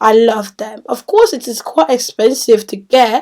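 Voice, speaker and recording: At a fairly slow pace, a woman is talking. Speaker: beauty vlogger. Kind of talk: product review vlog. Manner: loud. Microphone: echoey sound.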